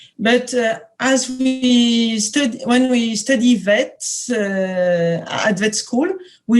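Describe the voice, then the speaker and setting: With a French accent, a woman speaks very slowly at a fairly high pitch. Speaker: veterinary epidemiology professor. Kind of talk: lecture. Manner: halting, many hesitations.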